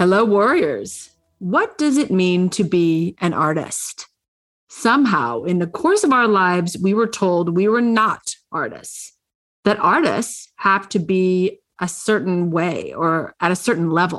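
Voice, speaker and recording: Speaking at a fairly slow pace, a woman uses lively intonation at medium pitch. Her loudness stays very even. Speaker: podcast host. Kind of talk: interview with scripted intro. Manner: animated, upbeat.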